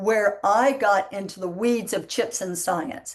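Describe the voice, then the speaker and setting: A woman with a strong Southern US accent, medium pitch, ordinary pitch variation and a moderate pace. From US Deep South. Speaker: panel moderator, entrepreneur. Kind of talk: panel discussion moderation.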